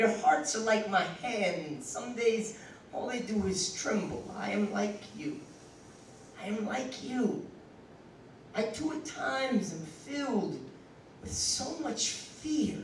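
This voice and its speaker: A high-pitched man with lively intonation at a very slow pace, long, frequent pauses and noticeable background noise. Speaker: slam poet. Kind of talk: poetry reading. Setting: live venue.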